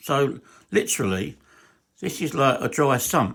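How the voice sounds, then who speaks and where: A man with an English accent and very wide pitch swings, in a very clean recording against a silent background. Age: 60s. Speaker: hobbyist engine builder. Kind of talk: workshop tutorial. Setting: garage. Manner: halting.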